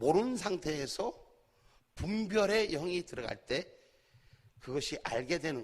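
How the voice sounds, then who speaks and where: This man speaks at a fairly slow pace with long, frequent pauses and a high pitch. His intonation is lively, and his loudness swings widely. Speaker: pastor. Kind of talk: sermon. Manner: animated.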